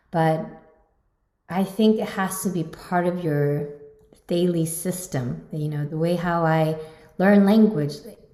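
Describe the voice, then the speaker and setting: A woman speaks fairly slowly in a Korean accent, her pitch fairly low. Her intonation stays fairly even, and room echo is audible. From South Korea, Seoul. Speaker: pianist and competition judge. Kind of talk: interview.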